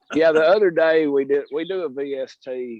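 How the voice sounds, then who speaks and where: This is a man speaking. He has a Southern US accent. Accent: Southern drawl. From Alabama, US South. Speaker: purple martin landlord presenter. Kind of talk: casual chat. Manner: halting, repeats words.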